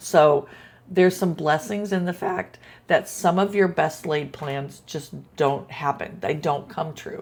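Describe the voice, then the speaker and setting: Fairly low-pitched, somewhat breathy woman's voice, fairly slow pace, ordinary pitch variation, very clean recording with a silent background. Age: 60s. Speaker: video blogger. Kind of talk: casual monologue. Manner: halting, many fillers.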